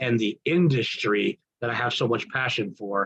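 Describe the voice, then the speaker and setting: A somewhat breathy male voice with lively intonation. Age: 60s. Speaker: business mentor. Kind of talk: testimonial speech. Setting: online group call. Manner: enthusiastic.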